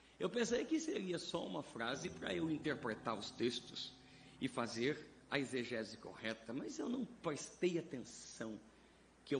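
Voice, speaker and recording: Somewhat breathy and fairly slow, a man speaks amid audible room echo. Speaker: pastor and preacher. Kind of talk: sermon. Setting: church vigil with congregation.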